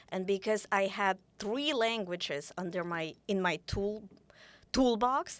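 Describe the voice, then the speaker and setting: A woman talks at a very slow pace. Her pitch sits in the medium range, with ordinary variation. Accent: Russian. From Ukraine. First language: Russian. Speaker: author. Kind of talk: interview conversation. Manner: halting, frequent self-corrections.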